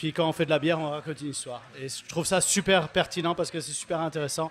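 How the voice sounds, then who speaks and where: Fairly even intonation carries the speech along at a very fast pace. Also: man, fairly high pitch for a man. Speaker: brewer, audience member. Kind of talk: audience question. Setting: stage with audience at beer festival.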